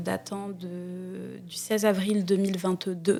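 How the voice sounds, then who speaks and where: Very slowly, a woman speaks at a medium pitch in a dark, mellow tone. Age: 20s. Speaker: student, identity theft victim. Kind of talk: interview testimony. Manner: hesitant, many fillers.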